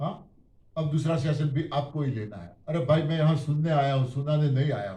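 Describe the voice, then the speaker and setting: Audible room echo surrounds a man whose fairly high, somewhat breathy voice has a dark, mellow tone and ordinary pitch variation. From Gujarat, India. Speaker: diet system speaker. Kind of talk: testimony. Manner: animated.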